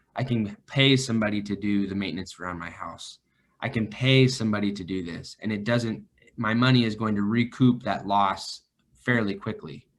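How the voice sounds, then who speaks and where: A man with an American accent and a normal speaking voice talks at a fairly low pitch and moderate pace with ordinary pitch variation. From northern California, Vacaville. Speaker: financial advisor. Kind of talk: podcast interview.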